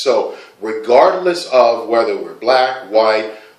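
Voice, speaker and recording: Fairly slow speech from a man, over noticeable background noise. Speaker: poet. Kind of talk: casual talk to camera explaining a poem.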